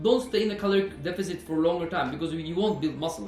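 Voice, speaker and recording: Over music in the background and audible room echo, a man talks at a very fast pace with a high pitch and ordinary pitch variation. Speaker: personal trainer and fitness vlogger. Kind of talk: casual educational monologue. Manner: hesitant, with fillers.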